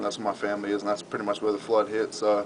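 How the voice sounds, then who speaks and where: A man with an Australian accent and a fairly low pitch speaks at a very fast pace amid noticeable background noise. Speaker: college football player. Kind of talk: interview answer.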